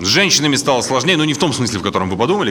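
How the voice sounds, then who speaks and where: Noticeable background noise fills the recording. Over it, a man's pitch swings very widely. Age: 30s. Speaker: stand-up comedian. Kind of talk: stand-up.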